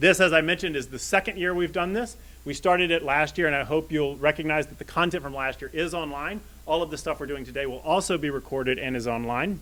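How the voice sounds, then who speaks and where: Loud and very fast, a man speaks in a bright, sharp tone at a fairly high pitch. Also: ordinary pitch variation. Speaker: library director. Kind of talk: opening remarks at a public event. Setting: stage with live audience.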